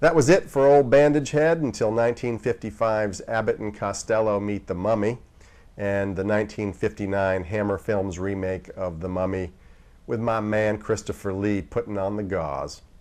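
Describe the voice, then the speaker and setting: A man with an ordinary speaking voice has a fairly low pitch. He keeps a moderate pace with ordinary pitch variation. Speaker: horror movie TV host. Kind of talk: TV horror host intro and outro. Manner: sardonic, wry.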